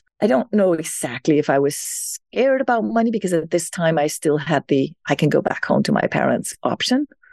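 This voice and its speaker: A woman with a fairly low voice talks fairly quickly with hardly any pauses, very wide pitch swings and very even loudness, in a dry, close sound with no echo. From Denmark. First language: Danish. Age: 60s. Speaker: self-care speaker and author. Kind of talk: interview.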